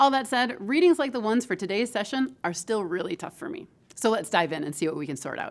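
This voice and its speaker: A woman talks with a Midwestern American accent and very wide pitch swings. The recording is very clean, with a silent background. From Michigan, US Midwest. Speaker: professor. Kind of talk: lecture.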